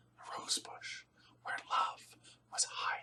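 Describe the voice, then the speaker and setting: The speaker whispers. The delivery is very slow. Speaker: storyteller. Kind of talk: ASMR story telling. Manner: whispered.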